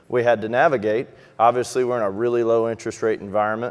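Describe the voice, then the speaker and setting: A fairly quick pace and monotone, flat intonation, in a Texas accent. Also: man. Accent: noticeable Texas. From Texas, Houston. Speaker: financial advisor. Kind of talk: conference presentation.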